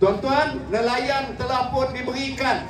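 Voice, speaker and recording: A man speaks at an extremely high pitch against noticeable background noise. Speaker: politician. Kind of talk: political rally speech. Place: hall. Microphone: pa.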